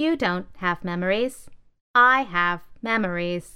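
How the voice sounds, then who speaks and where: Using a put-on character voice, a woman talks at a fairly slow pace with a medium pitch. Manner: scoffing, dismissive.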